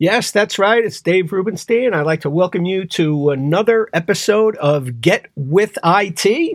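With a New York accent, a man talks in a high pitch and lively intonation, with hardly any pauses. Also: fairly slow pace. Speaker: podcast host. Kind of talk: interview.

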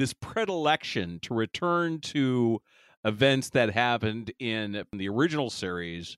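Recorded very cleanly with a silent background and a dry, close sound with no echo, a man with a normal speaking voice talks fairly slowly at a medium pitch, his intonation lively. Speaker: podcast host. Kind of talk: casual comedic chat about TV episode. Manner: joking, banter, interrupts.

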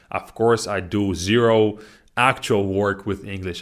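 A man with a Russian accent and fairly low pitch, in a very clean recording against a silent background. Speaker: language teacher and podcast host. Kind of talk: casual educational monologue.

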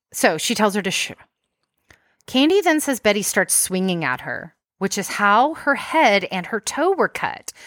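On a very clean recording with a silent background, a woman with an American accent speaks with very wide pitch swings. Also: fairly high pitch for a woman, moderate pace, dry, close sound with no echo. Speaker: podcast host. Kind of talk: casual chat, true crime storytelling.

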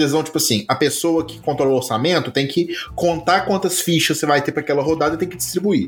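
Very fast and with hardly any pauses, a man talks at a fairly high pitch with vocal fry and ordinary pitch variation. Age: 30s. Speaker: podcast co-host. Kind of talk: casual chat.

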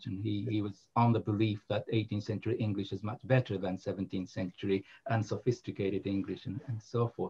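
A man with a Japanese accent talks at a fairly quick pace with fairly even intonation. His voice is fairly low, somewhat breathy and dark and mellow in tone. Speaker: English literature professor. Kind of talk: casual academic conversation.

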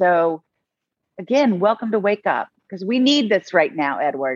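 A woman talks at a fairly slow pace with a medium pitch. She has a normal speaking voice. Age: 50s. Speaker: talk show host. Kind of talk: interview chat.

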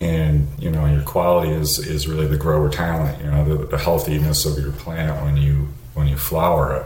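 With an American accent, a man speaks at a moderate pace and a very deep, low pitch with fairly even intonation, amid noticeable background noise and audible room echo. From US Northeast. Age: 50s. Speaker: home grower. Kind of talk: interview.

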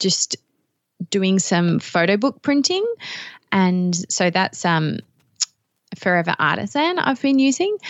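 A woman speaks with an Australian accent. Her pitch is medium. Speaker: digital scrapbooking teacher. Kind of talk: casual chat.

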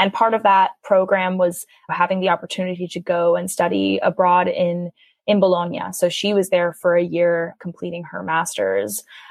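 A woman with an American accent and an ordinary speaking voice talks at a moderate pace, with fairly low pitch and fairly even intonation. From New York City. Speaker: college student and food charity co-founder. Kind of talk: interview.

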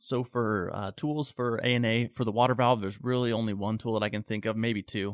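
A man speaks in a normal speaking voice at medium pitch and a fairly quick pace, with fairly even intonation and a dry, close sound with no echo. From Phoenix, Arizona. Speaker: pool equipment sales rep. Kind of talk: casual interview.

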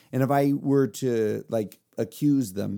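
A man's dark, mellow voice with an American accent and ordinary pitch variation. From Texas, near Houston. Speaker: guest, father of six. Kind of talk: casual chat.

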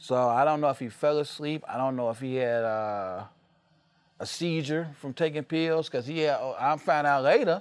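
With an unremarkable speaking voice, a man talks at a fairly quick pace, his fairly high pitch moving in lively intonation. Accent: American. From Chicago South Side. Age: 40s. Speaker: rap artist and music promoter. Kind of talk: casual interview chat. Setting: away on tour in Arizona.

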